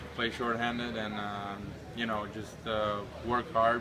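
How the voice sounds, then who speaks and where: Noticeable background noise sits behind a man's voice. He talks at a moderate pace. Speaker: hockey player. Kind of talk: interview. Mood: relaxed, friendly. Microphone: phone near.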